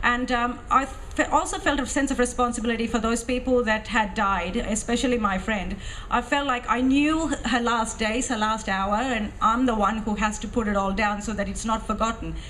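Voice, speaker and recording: Pitched fairly high, a woman with a Tamil accent speaks at a moderate pace with hardly any pauses and ordinary pitch variation. Audible room echo and noticeable background noise are present. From Sri Lanka (Tamil). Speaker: author and former militant. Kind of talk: interview at film festival talk. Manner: hesitant, many fillers.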